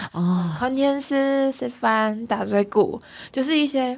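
A woman speaks with a somewhat breathy voice and lively intonation. The recording is very clean, with a silent background. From Taiwan, Liugui in Kaohsiung (Hakka area). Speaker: singer-songwriter. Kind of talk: interview.

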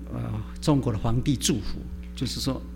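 Music and audible room echo accompany a man's voice. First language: Mandarin Chinese. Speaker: preacher. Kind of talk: sermon.

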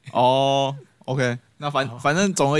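A man with a Taiwanese accent at a fairly high pitch and a moderate pace. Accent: Taiwanese Mandarin. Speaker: podcast host. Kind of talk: casual chat. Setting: friend's home. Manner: animated.

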